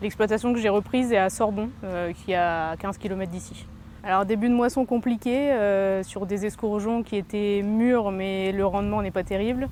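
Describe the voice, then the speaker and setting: A woman's voice moves at a moderate speed, its melody kept fairly level. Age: 30s. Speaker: farmer. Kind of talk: interview. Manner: hesitant, with many fillers.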